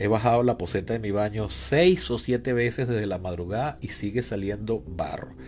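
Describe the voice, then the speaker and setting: With lively intonation and a moderate pace, a man talks as music plays behind him. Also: hardly any pauses. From Venezuela, Caracas. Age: 40s. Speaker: podcast host, political scientist. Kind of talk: solo podcast monologue, political commentary.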